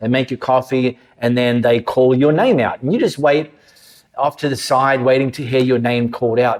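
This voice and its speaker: This man has an Australian accent and a medium pitch. He talks at a moderate pace with fairly even intonation. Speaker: pastor. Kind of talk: sermon. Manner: conversational.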